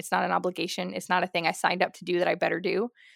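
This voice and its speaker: Recorded dry and close with no echo, a woman speaks very fast at a medium pitch with an American accent and vocal fry. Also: very clean recording, silent background. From Southern California. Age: 30s. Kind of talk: casual interview chat.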